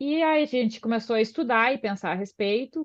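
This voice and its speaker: Using a normal speaking voice, the speaker talks with lively intonation. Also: woman. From southern Brazil, Porto Alegre. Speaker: osteopath. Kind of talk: podcast interview.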